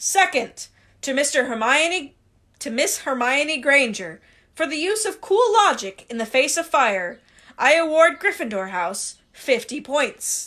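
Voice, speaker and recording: In a put-on character voice, a woman speaks at a high pitch with very wide pitch swings and a fairly slow pace, in a very clean recording with a silent background. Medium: read story. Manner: measured, ceremonious.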